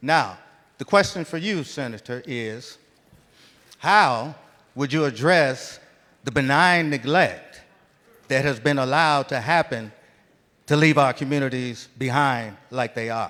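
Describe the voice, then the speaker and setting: Speaking at a fairly slow pace with long, frequent pauses, a man uses a fairly high pitch, ordinary pitch variation and a bright, sharp tone. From Ohio, Cleveland area. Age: 60s. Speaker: union field organizer. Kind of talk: audience question at town hall.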